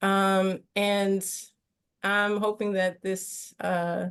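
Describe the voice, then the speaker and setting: A woman's medium-pitched voice is heard against a quiet background. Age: 40s. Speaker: visual artist. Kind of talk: panel discussion.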